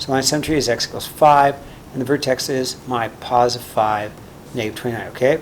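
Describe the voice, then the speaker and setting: This man rattles along at a very fast speed with noticeable background noise behind him. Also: medium pitch for a man, fairly even intonation. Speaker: math teacher. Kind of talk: tutorial. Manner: casual, with fillers.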